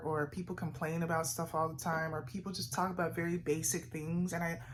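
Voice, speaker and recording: At a fairly quick pace, the speech comes in a somewhat breathy voice. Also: woman. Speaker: vlogger. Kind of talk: casual sit-down vlog monologue.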